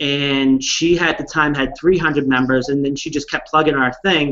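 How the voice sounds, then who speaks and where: A man speaks with a fairly high pitch. His pace is fairly quick. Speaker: online community founder. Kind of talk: casual chat. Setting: video call. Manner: loud.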